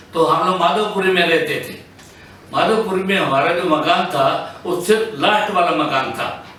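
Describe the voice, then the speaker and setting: Over noticeable background noise and audible room echo, a man speaks in a high voice with ordinary pitch variation. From Punjab, India (Ludhiana). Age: 70s. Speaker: partition witness. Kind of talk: testimony.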